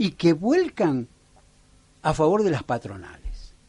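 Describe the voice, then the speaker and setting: In a dark, mellow tone, a man with fairly high pitch makes very wide pitch swings. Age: 60s. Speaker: local political candidate. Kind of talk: radio interview. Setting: radio studio.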